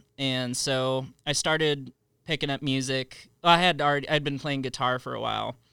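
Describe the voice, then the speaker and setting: On a very clean recording with a silent background, a man with a bright, sharp tone and a fairly high pitch speaks at a moderate pace in a monotone, flat delivery. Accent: American. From Southern California. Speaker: musician. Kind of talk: casual chat.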